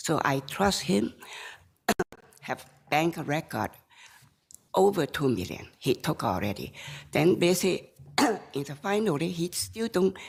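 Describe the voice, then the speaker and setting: Vocal fry runs through a woman's fairly low-pitched voice. She makes very wide pitch swings and takes long, frequent pauses. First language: Chinese. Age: 70s. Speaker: appellant in a court case. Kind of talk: court testimony. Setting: courtroom. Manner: slow; halting.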